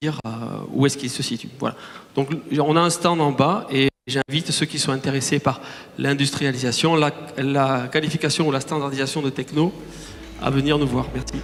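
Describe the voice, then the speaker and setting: Noticeable background noise behind a man's fairly high voice, fairly even in intonation, at a moderate pace. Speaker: start-up CEO. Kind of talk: conference talk. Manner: hesitant, many fillers and restarts.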